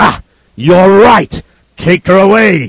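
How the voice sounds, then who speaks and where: A man's put-on character voice, high in pitch, with a dry, close sound and no echo. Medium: read story.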